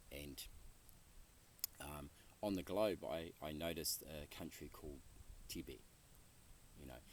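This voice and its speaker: Vocal fry runs through fairly slow speech with ordinary pitch variation and long, frequent pauses. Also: man, very deep, low pitch for a man. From New Zealand, rural North Island. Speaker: interviewee, Buddhist practitioner. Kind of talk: interview. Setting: outdoor retreat land, Western Massachusetts. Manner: halting, many fillers and repeats.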